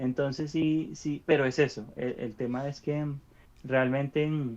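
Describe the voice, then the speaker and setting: Against a quiet background, a man speaks in a monotone, flat intonation at a fairly high pitch. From Venezuela. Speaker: podcast co-host. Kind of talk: casual chat. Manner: halting, many repeated syllables.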